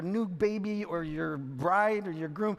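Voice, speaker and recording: Noticeable background noise sits behind a man's voice. His tone is playful and his pitch variation ordinary. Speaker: spoken word poet and keynote speaker. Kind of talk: conference keynote opening, casual audience banter. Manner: playful, conversational, humorous.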